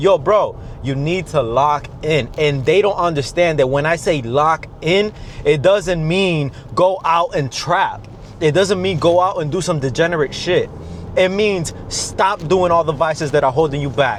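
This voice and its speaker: A man speaks at a fairly slow pace in a fairly high pitch, with ordinary pitch variation and noticeable background noise. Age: 20s. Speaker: fitness and mindset coach, vlogger. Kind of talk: motivational talk to camera. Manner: intense, emphatic.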